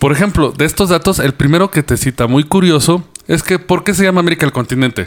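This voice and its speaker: Very fast and animated, a man speaks in a fairly high voice with ordinary pitch variation. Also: very even loudness. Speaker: podcast host. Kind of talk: casual chat.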